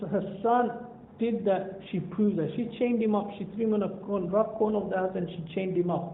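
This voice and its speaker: A man with a high pitch speaks at a moderate pace with hardly any pauses. His intonation is fairly even. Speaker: Islamic scholar and teacher. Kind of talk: religious talk to a youth audience (seerah story).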